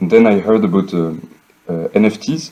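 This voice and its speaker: This man speaks with a French accent in a dark, mellow tone. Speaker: architect and NFT project co-founder. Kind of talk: interview. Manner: hesitant, many fillers.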